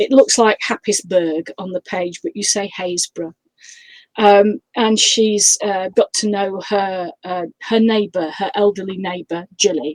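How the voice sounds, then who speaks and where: A woman at medium pitch with a slight northern English accent, a fairly slow pace and ordinary pitch variation. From northern England. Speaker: crime author. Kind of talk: interview. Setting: live video stream. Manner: hesitant, many fillers.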